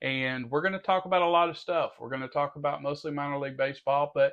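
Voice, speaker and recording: Speaking with a Southern US accent, a man uses a fairly high pitch with ordinary variation. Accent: Southern twang. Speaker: podcast host. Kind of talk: interview; podcast outro monologue.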